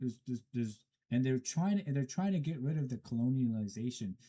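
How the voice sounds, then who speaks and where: This man's medium-pitched voice has a dark, mellow tone and very wide pitch swings. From Afghanistan, Herat. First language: not English. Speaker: commentator. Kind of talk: solo commentary. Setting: studio. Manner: halting, stumbling.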